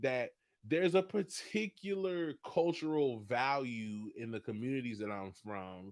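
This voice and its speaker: A loud, animated man's voice of medium pitch, fairly slow, with very wide pitch swings. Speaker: coffee business owner and livestream host. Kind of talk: livestream talk. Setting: instagram live video.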